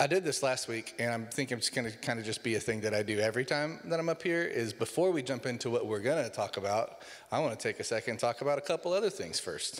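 A man's very fast delivery with lively intonation and hardly any pauses. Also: quiet background. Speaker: pastor. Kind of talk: sermon. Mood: light, joking. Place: church. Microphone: handheld.

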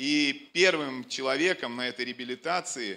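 Speaking at a fairly slow pace, a man has a bright, sharp tone. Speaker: church leader introducing the preacher. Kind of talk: introduction speech to congregation. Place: stage. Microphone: handheld.

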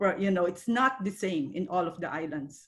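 A somewhat breathy woman's voice, medium in pitch, with lively intonation. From Philippines. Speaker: pediatrician; presenter. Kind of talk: webinar presentation. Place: home room. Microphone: video call.

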